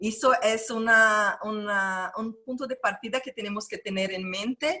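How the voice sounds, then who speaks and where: A woman with a Brazilian accent speaks at a fairly slow pace in a bright, sharp tone. Her pitch is fairly high, with ordinary pitch variation and big swings in loudness. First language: Portuguese (speaking Spanish). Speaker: NGO founder. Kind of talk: panel presentation.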